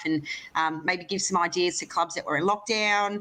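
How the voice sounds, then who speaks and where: A woman talks at a fairly quick pace and a fairly low pitch. Her tone is bright and sharp. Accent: Australian. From Australia. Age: 30s. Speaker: lawn bowls player and sports broadcast host. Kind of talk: interview. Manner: fast.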